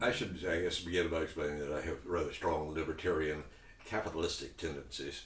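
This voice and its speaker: There is audible room echo as a man speaks at a fairly quick pace with a very deep, low pitch. His voice is somewhat breathy and his intonation fairly even. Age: 70s. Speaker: cannabis advocate and commentator. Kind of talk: talking-head commentary. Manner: conversational, with hesitations.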